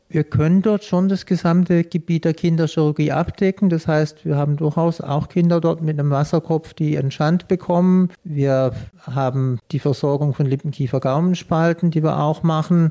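Hardly pausing, a man speaks at a moderate pace with a fairly high pitch, a dark, mellow tone, fairly even intonation and very even loudness. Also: dry, close sound with no echo. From Swabia, Swabian Alb. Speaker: paediatric surgeon. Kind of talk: interview. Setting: in his office.

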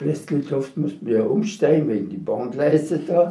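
A man's fairly high, fairly slow voice with vocal fry and a dark, mellow tone. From Sudetenland (Silesia, now Czechia). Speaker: war veteran. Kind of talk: testimony. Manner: halting.

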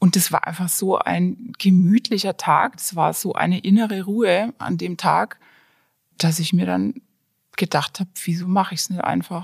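A woman with a medium pitch and a somewhat breathy voice speaks at a moderate pace with fairly even intonation, in a very clean, dry, close recording with a silent background and no echo. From Franconia, Germany (small town near Nuremberg). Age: 40s. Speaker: designer and hobby brewer. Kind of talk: casual interview.

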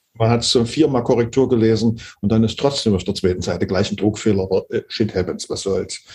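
Somewhat breathy, this man talks at a fairly quick pace with a medium pitch and ordinary pitch variation. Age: 60s. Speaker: pianist, composer and conductor. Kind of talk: interview. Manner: hesitant, many filler sounds.

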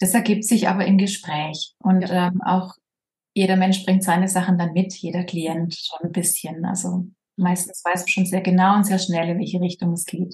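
A woman speaks at a moderate pace with a slight Swabian accent and a medium pitch. Her intonation is monotone and flat, and her voice is somewhat breathy. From southern Germany, Baden-Württemberg. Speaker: social worker and medium. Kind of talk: casual interview.

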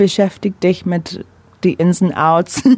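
With an English accent, a woman speaks at a fairly slow pace in a dark, mellow tone. Her voice is somewhat breathy, with fairly even intonation. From London, England. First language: English (speaking German). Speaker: menstrual cycle coach. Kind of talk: radio interview. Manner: halting non-native German with fillers.

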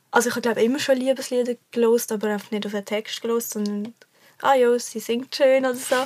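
A woman speaks very fast in a high voice. Her intonation is monotone and flat. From Switzerland, Basel. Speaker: singer-songwriter. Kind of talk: casual chat.

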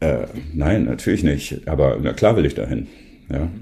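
A man's dark, mellow voice with vocal fry, lively intonation and a moderate pace. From northern Germany, near Bremen. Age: 50s. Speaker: photographer. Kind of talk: casual interview.

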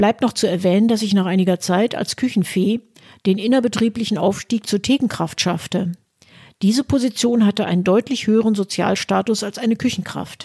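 A woman's somewhat breathy voice at a medium pitch, dark and mellow in tone, with fairly even intonation and a dry, close sound free of echo on a very clean recording over a silent background. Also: fairly quick pace. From Westphalia, Germany (Münster). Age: 60s. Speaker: podcaster, retired lawyer and party member. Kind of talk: scripted narration. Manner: formal.

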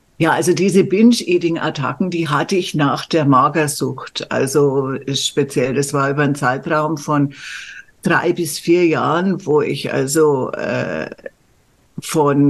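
A woman speaks very slowly with a very deep, low pitch. Her intonation is fairly even. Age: 60s. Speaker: medical journalist and coach. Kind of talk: casual chat.

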